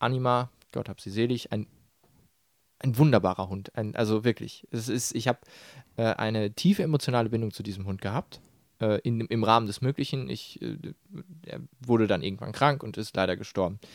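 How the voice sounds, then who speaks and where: Pausing long and often, a man talks at a fairly quick pace with a medium pitch and ordinary pitch variation. The recording is very clean and silent behind him, with a dry, close sound and no echo. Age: 20s. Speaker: podcast co-host. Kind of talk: casual chat. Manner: hesitant with many fillers.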